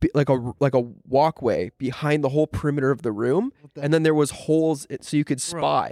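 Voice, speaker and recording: A man with a Canadian accent talks very fast in a fairly high pitch, with a dark, mellow tone and ordinary pitch variation. The sound is dry and close with no echo, on a very clean recording with a silent background. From Ontario, Canada (Shelburne). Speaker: YouTube prank creator and entrepreneur. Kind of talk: casual podcast chat.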